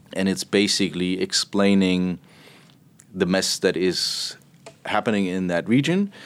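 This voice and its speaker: Slowly and with long, frequent pauses, a man with a German accent speaks in a very deep, low pitch with fairly even intonation. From Germany, Berlin. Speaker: portfolio manager. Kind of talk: interview.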